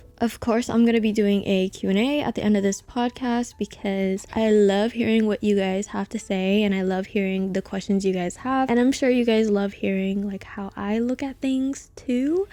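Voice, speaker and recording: Soft-spoken and dark, mellow in tone, a woman talks with hardly any pauses and fairly even intonation. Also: fairly high pitch for a woman, moderate pace. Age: 20s. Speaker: podcast host. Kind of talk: casual solo podcast talk.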